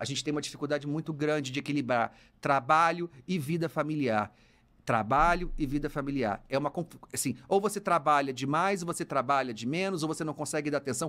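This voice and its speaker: A man speaks at a fairly quick clip, his pitch fairly high with ordinary variation. The tone is bright and sharp, on a very clean recording with a silent background. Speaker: psychologist and university professor podcast host. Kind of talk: casual advice podcast monologue. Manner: very fast speech; animated, gesturing.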